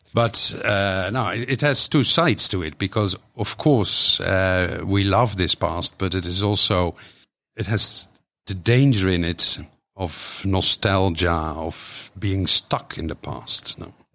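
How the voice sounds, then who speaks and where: A man speaks very slowly in a Dutch accent. His bright, sharp tone sits at a fairly low pitch with ordinary pitch variation. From Netherlands. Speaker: author and poet. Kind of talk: interview conversation. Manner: halting, hesitant with fillers.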